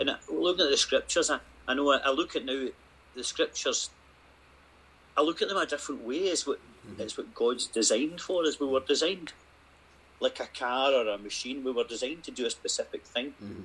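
A man with a Scottish accent, very fast delivery broken by long, frequent pauses. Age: 50s. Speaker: retreat participant sharing faith story. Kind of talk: testimony.

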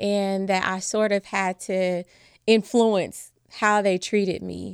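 A woman with a plain, everyday voice talks at a fairly slow pace in a medium pitch. The recording is very clean with a silent background and a dry, close sound with no echo. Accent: American. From US Midwest, Chicago. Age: 40s. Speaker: former nurse, world traveler. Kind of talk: interview.

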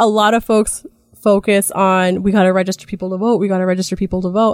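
A woman with a General American accent at medium pitch and a very fast pace, in a dry, close sound with no echo. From Idaho, US (Jerome, Magic Valley). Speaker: political organizer. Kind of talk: casual interview. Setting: studio.

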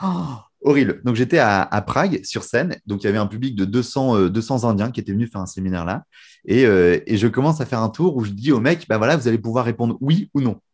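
A man at medium pitch talks in an ordinary speaking voice with lively intonation and a fairly quick pace. The recording is very clean, with a silent background. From northern France, Lille. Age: 20s. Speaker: magician and mentalist. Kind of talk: casual interview.

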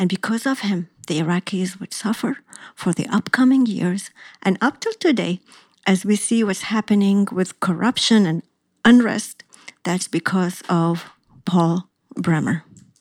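Recorded very cleanly with a silent background and a dry, close sound with no echo, a woman speaks at a medium pitch and a fairly slow pace in a somewhat breathy voice with ordinary pitch variation. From Iraq. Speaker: podcast host. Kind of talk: scripted narration.

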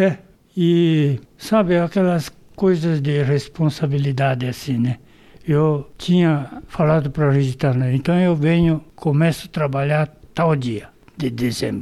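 A dark, mellow tone with very even loudness and ordinary pitch variation. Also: man, fairly high pitch for a man, fairly slow pace. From Brazil, São Paulo state. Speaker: retired agronomist, former baseball player. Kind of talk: interview, reminiscing. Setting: at home.

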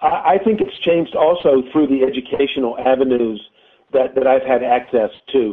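A man with an American accent has a plain, everyday voice. His pitch is fairly high, with ordinary variation, and his pace is moderate. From North Carolina, High Point. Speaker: tennis director and coach. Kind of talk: interview.

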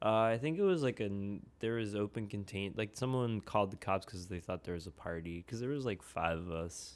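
A man with an American accent uses a normal speaking voice at a fairly low pitch, with ordinary pitch variation. He talks at a fairly quick pace in a very clean recording with a silent background. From suburbs of Philadelphia. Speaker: musician and rapper. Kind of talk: casual chat.

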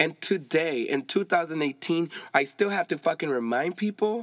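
A man with a fairly high pitch talks at a fairly slow pace, with lively intonation and an animated tone. The sound is dry and close with no echo. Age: 20s. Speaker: podcast host. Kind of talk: casual solo podcast monologue. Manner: switches between English and Spanish.

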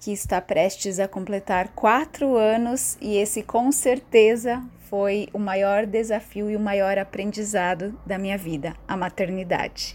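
Speaking in an unremarkable speaking voice at a fairly slow pace with hardly any pauses, a woman of medium pitch shows ordinary pitch variation on a very clean recording with a silent background. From Santa Catarina, Brazil. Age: 30s. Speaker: theatre director and writer. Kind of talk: prepared statement.

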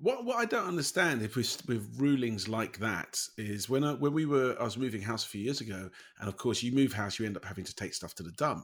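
A man talks at a fairly quick pace with lively intonation. It is a normal speaking voice. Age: 50s. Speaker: podcast host. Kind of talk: casual chat.

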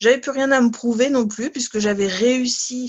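A woman speaks at a moderate pace in a somewhat breathy voice, her pitch varying in an ordinary way. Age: 30s. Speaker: sophrologist. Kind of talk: testimony. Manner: hesitant, many fillers.

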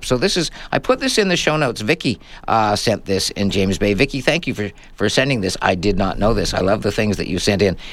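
A man's normal speaking voice, fairly low-pitched with lively intonation, in a Canadian accent. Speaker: radio host. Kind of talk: live radio tech show, casual chat. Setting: radio studio, live.

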